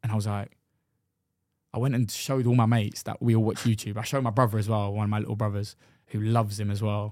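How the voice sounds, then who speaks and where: In a London accent, a man talks at a very fast pace in a fairly low pitch with monotone, flat intonation, recorded very cleanly against a silent background. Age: 20s. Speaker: professional football goalkeeper. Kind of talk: casual chat.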